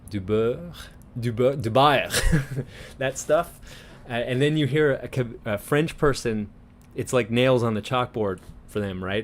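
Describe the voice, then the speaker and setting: Speaking at a moderate pace, a man with medium pitch shows ordinary pitch variation. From Newfoundland, Canada (St. John's area, townie). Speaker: live stream host. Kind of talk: casual chat. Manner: chatty, animated.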